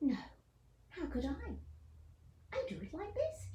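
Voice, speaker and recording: The pace stays moderate. A put-on character voice does the talking. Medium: read story.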